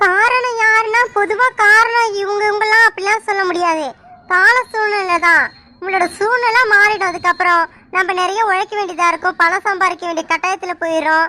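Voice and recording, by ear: A female-sounding cartoonish character voice talks at a moderate pace. Its pitch is extremely high.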